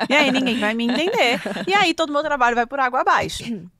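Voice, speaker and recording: Dry and close with no echo, the recording captures a woman talking. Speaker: communication mentor and speaker. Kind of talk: podcast interview. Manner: fast; animated.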